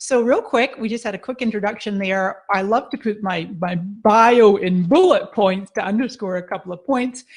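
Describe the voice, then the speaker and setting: An enthusiastic speaker with a Scottish accent talks at a moderate pace with hardly any pauses. The pitch varies in an ordinary way, and the background is quiet. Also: woman, fairly high pitch for a woman. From Scotland, Edinburgh. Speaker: social media marketing expert. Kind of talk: webinar presentation.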